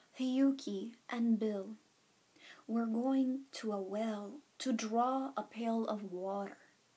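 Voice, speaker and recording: Soft-spoken and at a very slow pace, this voice has a dark, mellow tone and a calm, soothing tone. Its intonation stays fairly even. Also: woman, fairly high pitch for a woman. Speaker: ASMR storyteller. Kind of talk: bedtime story reading. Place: home room. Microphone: webcam.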